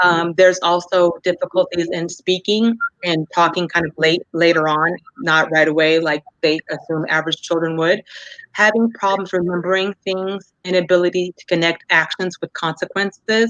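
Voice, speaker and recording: Speaking at a moderate pace, a woman with a fairly low pitch keeps her intonation fairly even while her loudness swings widely. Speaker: mental health presenter. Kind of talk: lecture. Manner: halting.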